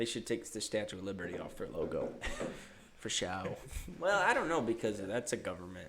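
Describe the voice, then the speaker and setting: Talking at a fairly quick pace, a man has a slight Ohio accent. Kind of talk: faint regional Midwestern coloring on some words.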